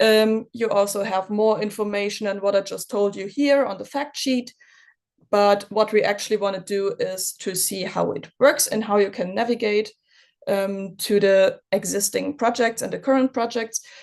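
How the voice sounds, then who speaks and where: This woman has an unremarkable speaking voice at a medium pitch, her intonation fairly even. She talks at a moderate pace against a quiet background. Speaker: software company presenter. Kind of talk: webinar presentation with demo. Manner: many fillers (um, uh).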